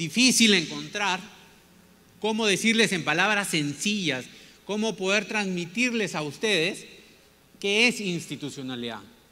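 With lively intonation, this bright, sharp, raised and projected voice is broken by long, frequent pauses. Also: man, high pitch for a man, fairly slow pace. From Peru (Piura, Callao). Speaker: business leader and former minister giving a talk. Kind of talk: lecture. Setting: stage with audience. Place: stage. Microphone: handheld.

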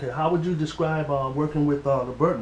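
In a room with audible echo and light background noise, a man talks very fast in a fairly high pitch. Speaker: interviewer. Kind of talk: recorded interview. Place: home room. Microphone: camera far.

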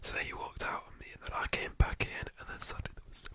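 The speaker is a man. He whispers at a fairly quick pace. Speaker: ASMR streamer. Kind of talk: casual talk to camera, live stream chat. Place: home room. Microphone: studio mic.

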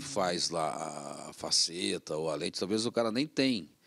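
Against a quiet background, a man with a very deep, low pitch makes very wide pitch swings. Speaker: TV show host. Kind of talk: casual interview. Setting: TV studio. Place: studio. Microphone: studio mic.

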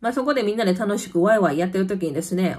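The tone is animated, with a Kansai accent. The background is quiet. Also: woman. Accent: Kansai dialect Japanese. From Kansai, Japan; Japan. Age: 30s. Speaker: YouTuber; vlogger living abroad. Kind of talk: casual chat. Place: home room. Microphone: phone near.

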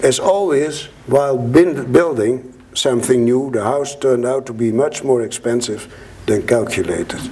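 A man with a Dutch accent at a moderate pace, with ordinary pitch variation and light background noise. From Netherlands. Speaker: Holocaust survivor. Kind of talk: public talk to an audience. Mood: earnest, reflective. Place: hall. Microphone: lapel.

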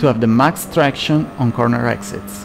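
Through noticeable background noise, a man speaks slowly at medium pitch with fairly even intonation. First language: not English. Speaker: sim racing gameplay creator. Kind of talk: tutorial explanation over gameplay. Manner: hesitant, many filler sounds.

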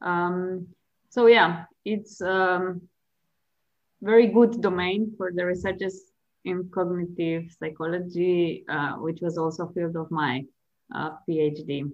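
A woman with a Slovene accent, fairly low in pitch, at a very slow pace with long, frequent pauses and fairly even intonation. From Slovenia. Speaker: chess player and psychology professor. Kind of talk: interview. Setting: video call. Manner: hesitant, many fillers.

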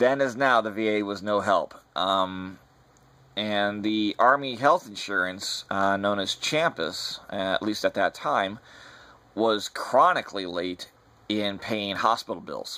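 This man has a bright, sharp tone and a fairly low pitch. He goes at a fairly slow pace with ordinary pitch variation. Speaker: personal storyteller. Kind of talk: personal memory monologue. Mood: somber, reflective. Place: home room. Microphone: webcam.

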